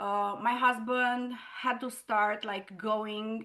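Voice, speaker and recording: A woman is speaking. She has a non-native accent. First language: not English. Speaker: entrepreneur. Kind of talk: interview testimony. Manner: casual, filler-heavy.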